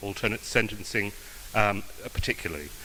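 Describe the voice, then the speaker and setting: A man with an English accent at a fairly quick pace, amid noticeable background noise. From England, London. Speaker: judicial candidate, prosecutor. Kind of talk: campaign speech; answering questions at a forum. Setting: club meeting with audience. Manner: halting, many fillers.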